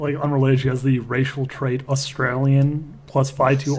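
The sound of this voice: Here the speaker uses an unforced reading voice.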